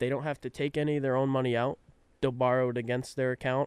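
A man's medium-pitched voice, dry and close with no echo. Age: 20s. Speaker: real estate agent. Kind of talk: casual chat.

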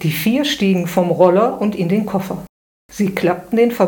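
Someone reads aloud plainly while the surroundings remain hushed.

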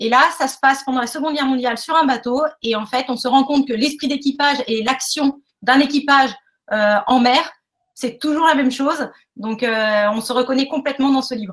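High female voice at a moderate pace with fairly even intonation. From eastern France. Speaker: naval engineering officer. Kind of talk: interview testimony. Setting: webinar.

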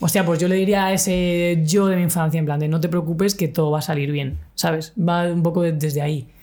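An ordinary speaking voice moves at a fairly quick pace with hardly any pauses, fairly even intonation and very even loudness. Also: woman, fairly low pitch for a woman. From Spain, Cartagena (Murcia). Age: 30s. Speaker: LGBTI activist and podcaster. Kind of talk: casual interview chat. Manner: casual, slangy.

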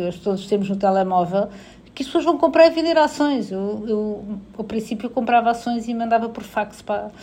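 With a European Portuguese accent, a woman talks at a fairly quick pace in a fairly high pitch, her tone dark and mellow and her intonation lively. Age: 40s. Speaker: HR director. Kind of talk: interview.

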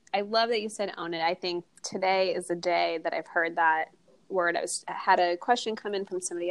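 A woman with a normal speaking voice talks fairly quickly at a medium pitch, with ordinary pitch variation. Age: 30s. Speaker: podcast host and barre instructor. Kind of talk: casual interview chat.

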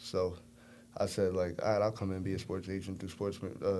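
Talking at a fairly quick pace, this man has a very deep, low pitch, a dark, mellow tone, an American accent and monotone, flat intonation. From Brooklyn, New York. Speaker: college football quarterback. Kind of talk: casual chat.

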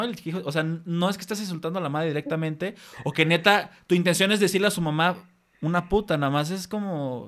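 On a very clean recording with a silent background, a man with a Mexican accent talks at a high pitch and a fairly quick pace. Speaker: podcast host. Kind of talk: casual chat.

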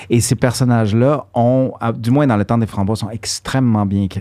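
A man speaks at medium pitch with a dark, mellow tone. His pace is fairly slow and his pitch varies in an ordinary way. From Quebec (Montreal), born in Guatemala. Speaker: actor and musician. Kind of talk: casual interview. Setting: studio.

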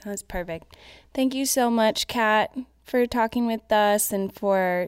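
Speaking at a fairly slow pace, a woman has a plain, everyday voice on a very clean recording with a silent background. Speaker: interviewer. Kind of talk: interview.

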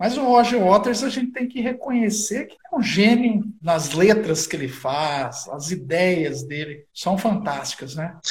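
A man with a high voice speaks at a fairly slow pace, barely pausing, as his pitch swings very widely over noticeable background noise. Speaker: bass player and historian. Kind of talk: casual chat. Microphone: poor sound quality.

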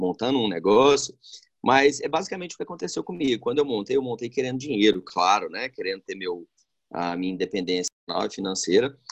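At a fairly quick pace, a man speaks at medium pitch with very wide pitch swings, the sound dry and close with no echo. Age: 30s. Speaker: restaurant owner. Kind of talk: interview. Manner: hesitant, many fillers.

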